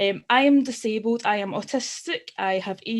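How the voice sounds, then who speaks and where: Speaking fairly slowly in a Glasgow accent, a woman uses lively intonation. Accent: Scottish (Glasgow area). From Scotland, Glasgow area. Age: 30s. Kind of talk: personal testimony at online forum. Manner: halting, many fillers.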